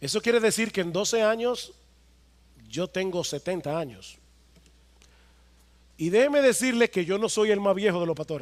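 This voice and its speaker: A man's high voice with lively intonation and long, frequent pauses. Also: moderate pace. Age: 50s. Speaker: pastor. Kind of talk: sermon.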